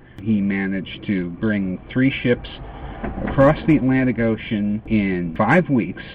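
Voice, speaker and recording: Noticeable background noise runs under a man speaking at a fairly slow pace. His pitch is fairly low, with ordinary variation. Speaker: vlogger. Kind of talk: casual monologue. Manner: slow with long pauses; hesitant, many uhs.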